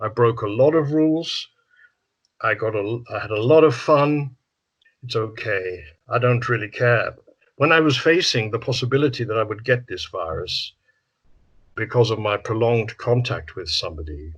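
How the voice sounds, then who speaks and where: A man's somewhat breathy, medium-pitched voice with lively intonation at a moderate pace, broken by long, frequent pauses, over a quiet background. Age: 70s. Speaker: psychotherapist. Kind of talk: interview. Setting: video call.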